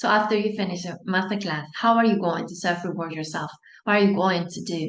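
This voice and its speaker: A woman at medium pitch with a Spanish accent, fairly quick pace and fairly even intonation. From Spain. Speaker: anxiety coach. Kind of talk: online masterclass talk. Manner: warm, encouraging.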